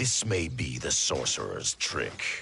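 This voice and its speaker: A man puts on a character voice with a stern tone. He speaks at a fairly slow pace. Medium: video game. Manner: stern, distrustful.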